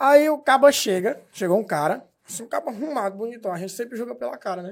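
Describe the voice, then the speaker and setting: The man talks at an even, middling speed. His tone rises and falls with plenty of life. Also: very clean recording, silent background. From Brazil, Pará (Eldorado). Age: 20s. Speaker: social media comedian. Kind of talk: casual chat.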